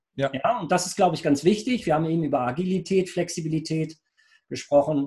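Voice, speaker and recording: Using an ordinary speaking voice, a man talks at a fairly quick pace and a fairly high pitch with ordinary pitch variation. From Lower Rhine region, Germany (Rheinberg). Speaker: IT entrepreneur. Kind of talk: business interview.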